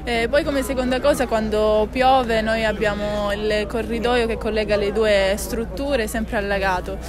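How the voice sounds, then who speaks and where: A woman at a moderate pace with hardly any pauses and fairly even intonation, in a dry sound with no echo, with clear music in the background. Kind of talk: interview answer. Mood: earnest, assertive. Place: street.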